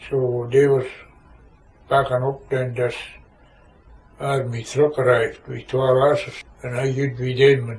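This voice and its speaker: A man's medium-pitched, monotone, flat delivery, fairly slow with long, frequent pauses. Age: 80s+. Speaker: war veteran. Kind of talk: oral history interview answer.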